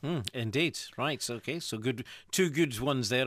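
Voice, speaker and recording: A man speaks in a normal speaking voice at a medium pitch with ordinary pitch variation. The recording is very clean, with a silent background. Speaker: radio presenter. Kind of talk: radio show host talk. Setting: radio studio. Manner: jokey, upbeat.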